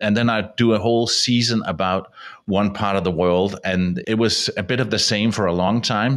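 A man speaks with a Danish accent in a fairly low-pitched voice. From Denmark. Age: 50s. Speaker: radio producer and travel podcaster. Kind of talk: casual interview chat. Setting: video call.

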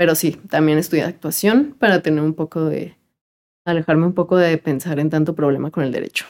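With an unremarkable speaking voice, a woman talks at a fairly quick pace in a fairly low pitch and with fairly even intonation. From Mexico City. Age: 20s. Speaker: lawyer. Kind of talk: casual interview chat.

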